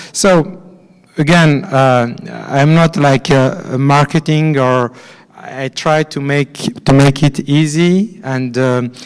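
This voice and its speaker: Very slowly, a man with a French accent speaks in a fairly high pitch with ordinary pitch variation. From France. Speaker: finance executive at a conference. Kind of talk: conference presentation. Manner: halting, many fillers and repetitions.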